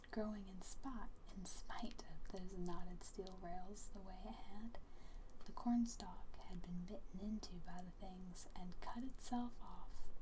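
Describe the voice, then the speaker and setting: The speaker has an American accent and talks at a fairly slow pace. Background noise is noticeable. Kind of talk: bedtime story reading. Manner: soft-spoken, quiet.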